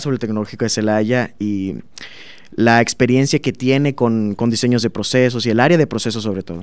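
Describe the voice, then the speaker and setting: A man's medium-pitched voice with fairly even intonation, an ordinary speaking voice. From southern Veracruz, Mexico (Minatitlán). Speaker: master's student in chemical engineering. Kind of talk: interview.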